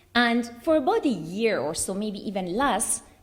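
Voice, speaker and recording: Her pitch is fairly high, and her intonation is lively. Audible room echo surrounds this woman's voice. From Iran (Tehran). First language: Russian. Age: 40s. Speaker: human rights speaker, former Iranian prisoner. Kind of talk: conference speech, personal testimony. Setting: conference hall with audience.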